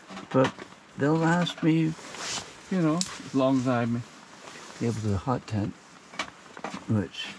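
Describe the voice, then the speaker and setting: Mumbling at a very slow pace, a man with a medium pitch uses lively intonation over noticeable background noise. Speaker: camping vlogger. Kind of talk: casual vlog narration. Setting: outdoors.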